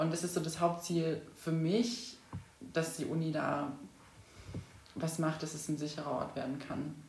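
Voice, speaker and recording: A woman's very deep, low voice at a fairly slow pace, with ordinary pitch variation and long, frequent pauses, plus audible room echo and noticeable background noise. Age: 20s. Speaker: student activist. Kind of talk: interview.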